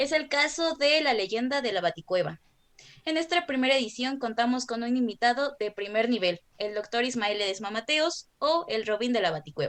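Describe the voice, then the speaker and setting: Her intonation lively and her pitch high, a woman speaks at a moderate pace. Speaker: student podcast host. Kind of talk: scripted introduction.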